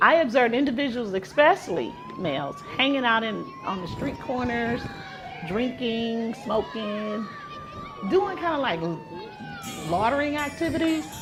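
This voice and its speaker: Over noticeable background noise, a woman speaks at a moderate pace in a fairly high voice, with very wide pitch swings and long, frequent pauses. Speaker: podcast host. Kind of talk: podcast monologue intro.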